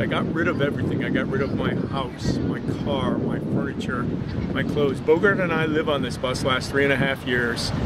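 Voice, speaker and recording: Loud background noise surrounds a man speaking at a moderate pace in a dry sound with no echo. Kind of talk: interview answer. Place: street.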